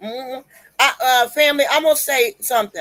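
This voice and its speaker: A woman's high-pitched voice, bright and sharp in tone, at a fairly quick pace. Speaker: online religious commentator. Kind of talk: impassioned exhortation. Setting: livestream. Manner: strong-spoken, emphatic; not soft-spoken.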